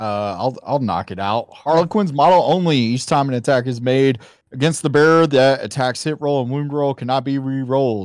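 With a Southern US accent, a man speaks at a moderate pace with hardly any pauses, medium pitch and ordinary pitch variation. The recording is very clean, with a silent background. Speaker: tabletop gaming guest.

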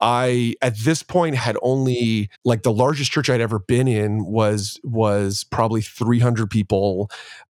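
In a very clean recording with a silent background and a dry, close sound with no echo, a man with a normal speaking voice talks at medium pitch and a fairly slow pace with fairly even intonation. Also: hardly any pauses. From Canada, Ontario. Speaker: church leader and podcast host. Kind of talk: casual interview chat.

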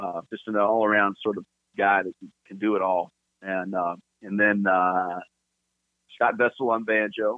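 With long, frequent pauses and big swings in loudness, a man speaks at a moderate pace in a fairly low pitch and monotone, flat intonation. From California, Los Angeles. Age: 50s. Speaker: bluegrass bass player. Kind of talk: casual chat.

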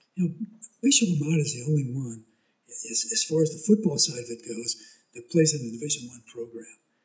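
Somewhat breathy and fairly high in pitch, a man with an American accent talks at a fairly quick pace with lively intonation and big swings in loudness. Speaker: high school sports announcer. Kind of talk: casual chat.

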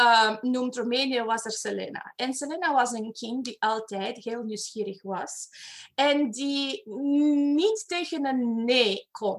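A woman's high-pitched voice with a Romanian accent at a very slow pace. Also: ordinary pitch variation. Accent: Romanian-accented Dutch. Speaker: personal development facilitator. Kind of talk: interview. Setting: video call. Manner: animated.

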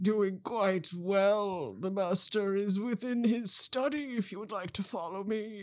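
A man puts on a character voice with a high pitch. He goes at a fairly slow pace and hardly pauses. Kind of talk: stiff upper-class servant speech. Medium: actual play. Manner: courteous, formal, gently chatty.

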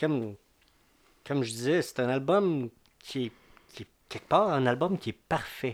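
At a fairly slow pace with long, frequent pauses, a medium-pitched man speaks with lively intonation. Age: 50s. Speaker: music commentator. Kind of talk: casual chat.

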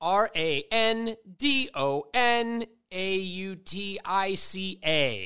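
A man with an American accent, high-pitched with a bright, sharp tone, on a very clean recording over a silent background. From Connecticut. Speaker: podcast host and rapper. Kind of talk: casual chat. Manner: animated.

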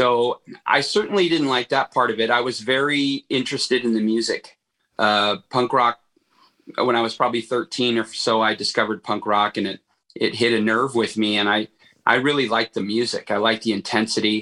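A man's medium-pitched voice with an American accent, bright and sharp in tone, at a fairly quick pace, fairly even intonation, dry and close with no echo. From Los Angeles area, California. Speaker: punk band musician. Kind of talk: interview.

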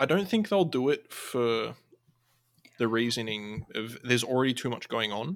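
A man's medium-pitched voice with an Australian accent, lively intonation and a moderate pace. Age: 20s. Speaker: podcast host, guest. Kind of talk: casual chat.

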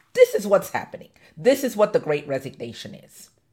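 Her voice medium in pitch and somewhat breathy, a woman speaks in an animated tone. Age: 50s. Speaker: podcast host, diversity and inclusion consultant. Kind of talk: live unscripted monologue. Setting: live stream.

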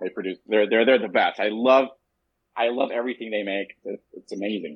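A man with an American accent and a normal speaking voice talks at a moderate pace, his fairly low pitch carried by fairly even intonation. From Southern California and Mexico City. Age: 30s. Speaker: cigar company founder. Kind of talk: interview.

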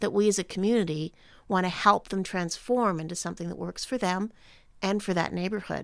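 A woman's plain, everyday voice at a fairly quick pace, with ordinary pitch variation. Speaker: podcast host. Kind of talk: interview conversation.

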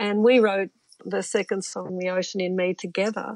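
Speaking in an Australian accent at a moderate pace, a woman talks at a medium pitch. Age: 70s. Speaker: musician and author. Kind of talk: casual chat. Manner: laughs often.

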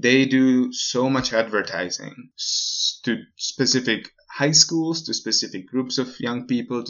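A man talks at a fairly slow pace with a Slovak accent. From Slovakia. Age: 20s. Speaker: podcast guest living abroad. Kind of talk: casual interview.

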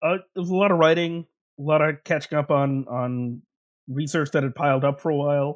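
A man speaks with a fairly high pitch in an ordinary speaking voice, at a fairly quick pace with fairly even intonation. The recording is very clean with a silent background, and the sound is dry and close with no echo. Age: 40s. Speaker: professor. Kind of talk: casual interview chat.

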